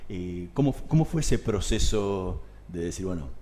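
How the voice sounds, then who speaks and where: A man with a very deep, low voice speaks in a dark, mellow tone that is somewhat breathy. He moves at a fairly slow pace, with very wide pitch swings. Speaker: radio host. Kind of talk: radio interview.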